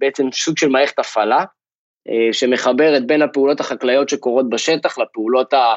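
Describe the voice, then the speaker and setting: Speaking at a moderate pace, this man has a normal speaking voice pitched fairly high. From Israel. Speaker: agtech startup founder. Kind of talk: interview.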